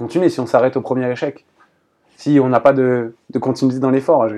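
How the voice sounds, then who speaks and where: Against a quiet background, a man speaks at a moderate pace with a medium pitch. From Paris region, France. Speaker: volleyball coach. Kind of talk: casual chat. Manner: halting.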